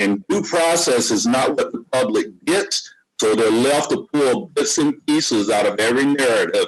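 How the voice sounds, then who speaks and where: A man with an American accent speaks at a moderate pace, with hardly any pauses and very even loudness. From US South. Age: 60s. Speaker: podcast guest. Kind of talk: casual discussion.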